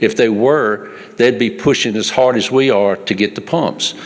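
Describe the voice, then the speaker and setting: A man with a Mississippi accent at a moderate pace, with noticeable background noise. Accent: US South, Mississippi. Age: 70s. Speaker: farmer. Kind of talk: public comment. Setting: public meeting. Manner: animated.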